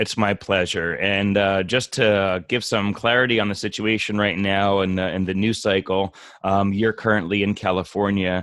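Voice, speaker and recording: Over a quiet background, a man with a slight New Jersey accent speaks at a moderate pace and fairly low pitch, monotone and flat, at very even loudness with hardly any pauses. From New Jersey Shore. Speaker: podcast host. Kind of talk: interview.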